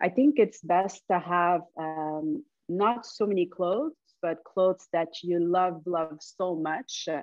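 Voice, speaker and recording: Ordinary pitch variation runs through delivery that is very slow. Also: woman, fairly low pitch for a woman. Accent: Quebec. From Montreal, Quebec. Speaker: men's fashion stylist. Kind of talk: podcast interview answer.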